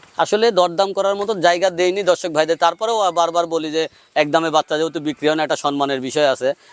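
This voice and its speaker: The man's voice sits high in pitch, with a dry, close sound and no echo. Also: ordinary pitch variation. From Bangladesh, Pabna district. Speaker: cattle farmer and seller. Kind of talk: sales pitch.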